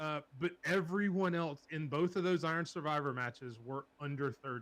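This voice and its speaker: A fairly high male voice, its pitch varying in an ordinary way. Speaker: wrestling podcast co-host. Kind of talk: casual chat. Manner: fast.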